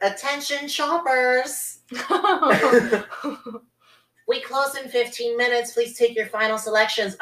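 A put-on character voice sounds nasal. It moves at a fairly slow pace with long, frequent pauses. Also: female-sounding voice, high pitch for a woman.

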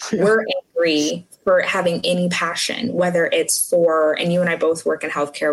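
Here is an ordinary speaking voice from a woman with a fairly low pitch. She keeps a moderate pace and ordinary pitch variation. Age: 20s. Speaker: quality compliance specialist. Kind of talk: casual chat.

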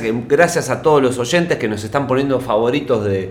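A man in a Rioplatense accent at medium pitch and moderate pace, with noticeable background noise and audible room echo. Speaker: radio podcast co-host. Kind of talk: casual chat.

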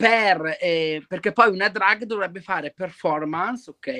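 A man projects a raised voice with a bright, sharp tone at a fairly slow pace. His pitch varies in an ordinary way, and the sound is dry and close with no echo. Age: 20s. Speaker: drag performer. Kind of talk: casual chat.

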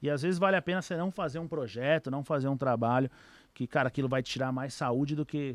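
A man talks at a very fast clip in a fairly high pitch, with ordinary pitch variation. The sound is dry and close, with no echo. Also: quiet background. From São Paulo, Brazil (east zone). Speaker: trader. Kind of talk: casual interview chat.

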